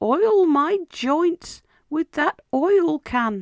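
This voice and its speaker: A high-pitched, put-on character voice. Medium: read story.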